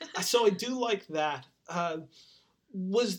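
The speaker talks with lively intonation in a Californian accent. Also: man. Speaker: podcast host. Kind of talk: casual chat.

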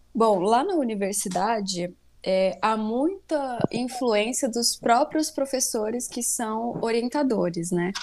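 A woman's dark, mellow tone, fairly high in pitch, with ordinary pitch variation. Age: 20s. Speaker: chemistry student. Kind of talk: interview.

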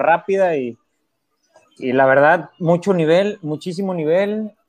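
A man talks in a normal speaking voice. His pace is moderate and his intonation lively. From Mexico, Veracruz. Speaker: teacher and trail runner. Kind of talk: casual chat.

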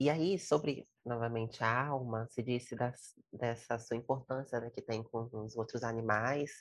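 At a fairly slow pace, a woman speaks with a very deep, low pitch and fairly even intonation. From Brazil, Espírito Santo (Vitória). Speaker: podcast host, psychologist. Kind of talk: casual interview conversation.

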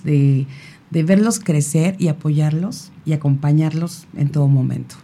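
Fairly low in pitch and somewhat breathy, a woman speaks in a dark, mellow tone at a very slow pace with fairly even intonation. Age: 50s. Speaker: radio magazine creator and mother. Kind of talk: casual chat.

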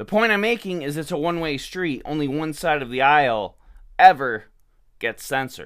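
With an American accent, a man uses a normal speaking voice at a fairly high pitch, speaking at a moderate pace with lively intonation. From Michigan, US. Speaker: podcast host, political commentator. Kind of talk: angry rant. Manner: sarcastic, indignant.

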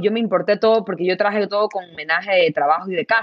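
At a fairly quick pace, a woman with an ordinary speaking voice talks at a fairly high pitch with ordinary pitch variation. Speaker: entrepreneur. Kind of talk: interview.

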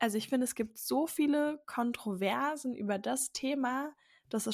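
A woman speaks at a high pitch and a fairly slow pace. The sound is dry and close with no echo, on a very clean recording with a silent background. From Berlin. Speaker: podcast host, mother. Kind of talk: casual chat.

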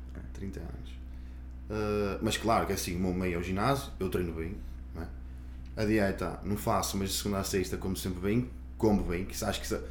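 Vocal fry marks a man's very deep, low voice, which swings very widely in pitch, pauses long and often, and carries audible room echo. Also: moderate pace. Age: 30s. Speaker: personal trainer. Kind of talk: casual chat.

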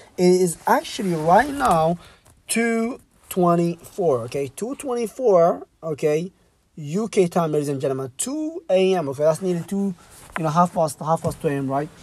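Speaking at a moderate pace, a man with a high pitch has an energetic tone and lively intonation. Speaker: podcast host and business coach. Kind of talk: motivational monologue.

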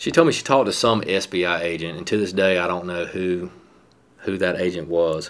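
This man has a very deep, low voice and a Southern US accent. He speaks at a moderate pace with fairly even intonation. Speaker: police captain. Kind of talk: interview.

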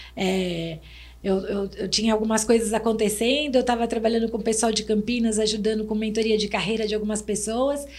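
A woman with a fairly high voice speaks in fairly even intonation, with audible room echo around her. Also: fairly quick pace. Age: 50s. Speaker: restaurant and HR manager, consultant. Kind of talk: casual chat.

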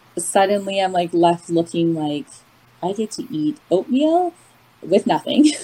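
A woman with a Canadian accent speaks fairly slowly at a medium pitch, her pitch swinging very widely, with noticeable background noise. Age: 30s. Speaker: recovering binge eater sharing her story. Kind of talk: personal testimony in casual interview.

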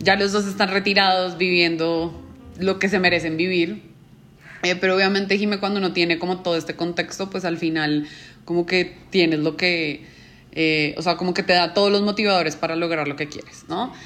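Her pace is moderate. This woman speaks at a fairly low pitch in a monotone, flat way. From Colombia. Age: 30s. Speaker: business manager. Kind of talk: interview.

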